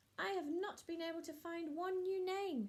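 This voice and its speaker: This woman's put-on character voice is squeaky and extremely high in pitch. Her pace stays moderate. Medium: read story.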